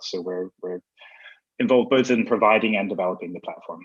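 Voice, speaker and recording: The recording sounds dry and close, with no echo. In it, a man speaks at a very fast pace. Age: middle-aged. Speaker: company CEO. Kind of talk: panel discussion.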